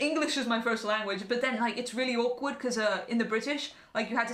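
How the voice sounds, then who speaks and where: Over noticeable background noise and audible room echo, a woman with an English accent speaks at a very fast pace and a fairly high pitch. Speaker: podcaster. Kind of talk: casual chat. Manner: animated.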